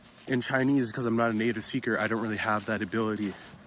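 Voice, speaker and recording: With an American accent, a man speaks at medium pitch in a monotone, flat way. Noticeable background noise can be heard. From United States. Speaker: English-learning vlogger. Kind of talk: walk-and-talk vlog. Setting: outdoors walking. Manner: casual, filler-heavy.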